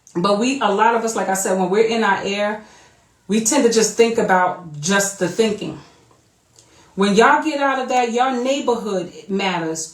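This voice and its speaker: With a fairly high pitch and ordinary pitch variation, a woman speaks at a moderate pace amid audible room echo. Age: 40s. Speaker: vlogger. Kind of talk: casual monologue. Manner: animated.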